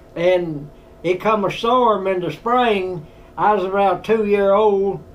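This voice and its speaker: A man with an American accent speaks in a high pitch with fairly even intonation. His fairly slow delivery carries audible room echo. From US South, Tennessee. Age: 90s. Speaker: war veteran. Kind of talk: storytelling interview. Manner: halting.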